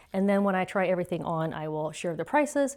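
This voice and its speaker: This very clean recording has a silent background. On it, a woman speaks very fast. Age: 60s. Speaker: fashion haul vlogger. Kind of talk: casual try-on review. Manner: chatty, casual.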